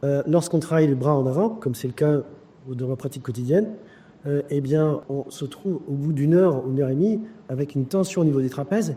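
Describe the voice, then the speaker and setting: Ordinary pitch variation and a moderate pace from a man with a fairly high pitch. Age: 50s. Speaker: surgeon. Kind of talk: testimony. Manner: hesitant with fillers.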